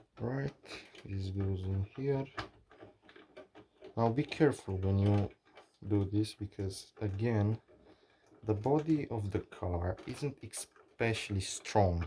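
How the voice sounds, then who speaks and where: Someone with a non-native accent speaks at a very slow pace. Long pauses come often. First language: not English. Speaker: maker / hobbyist YouTuber. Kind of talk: tutorial. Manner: halting. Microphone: bad audio early in video.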